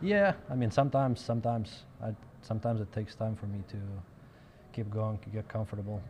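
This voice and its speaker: With a Russian accent, a man speaks very fast in a fairly low, somewhat breathy voice with fairly even intonation. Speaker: professional pool player. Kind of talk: interview.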